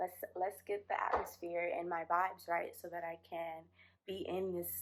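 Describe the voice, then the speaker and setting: A woman speaks at a moderate pace on a very clean recording with a silent background. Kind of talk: reflective podcast talk.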